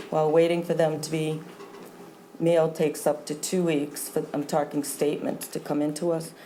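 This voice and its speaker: With an American accent, a woman speaks at a moderate pace in a very deep, low pitch. Her intonation is flat and monotone, and background noise is noticeable. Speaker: town treasurer. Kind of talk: formal report at a town board meeting. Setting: town board meeting room. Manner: formal.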